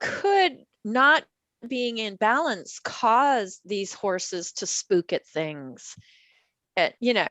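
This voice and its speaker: At a very slow pace, a woman speaks with a fairly high pitch and very wide pitch swings. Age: 60s. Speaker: Alexander Technique instructor. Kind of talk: casual chat.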